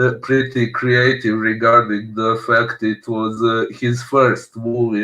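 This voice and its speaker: A man with a non-native accent speaks at a medium pitch and a very slow pace, in a monotone, flat intonation with hardly any pauses. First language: not English. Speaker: film podcast co-host. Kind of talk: casual film discussion. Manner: halting, many fillers.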